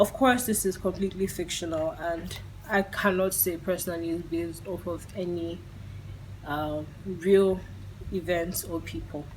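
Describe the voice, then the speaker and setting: A woman's voice is fairly low and somewhat breathy. Her intonation stays fairly even. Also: moderate pace. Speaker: film reviewer. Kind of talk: video review.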